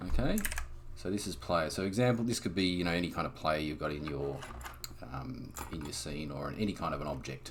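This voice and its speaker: The voice has vocal fry, and audible room echo surrounds it. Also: man. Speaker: game developer. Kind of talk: tutorial. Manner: casual.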